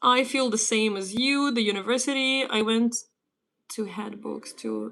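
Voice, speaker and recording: A woman's bright, sharp, fairly high voice in a Ukrainian accent. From Ukraine. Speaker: English teacher. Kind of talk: livestream language lesson. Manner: casual.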